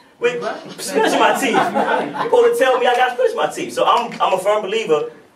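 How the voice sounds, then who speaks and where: Noticeable background noise runs under this recording. A man talks at a fairly quick pace. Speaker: spoken word poet. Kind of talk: casual storytelling to live audience. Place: hall. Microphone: camera far.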